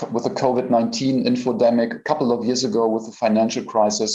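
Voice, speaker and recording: A man in a German accent, medium pitch, ordinary pitch variation, and a fairly quick pace. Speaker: AI researcher. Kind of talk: conference presentation. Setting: stage at a conference.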